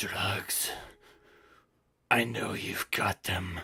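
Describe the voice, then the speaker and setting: In a put-on character voice, a man growls with a raspy, very deep, low pitch and an intense tone, the sound dry and close with no echo. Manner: intense, through gritted teeth.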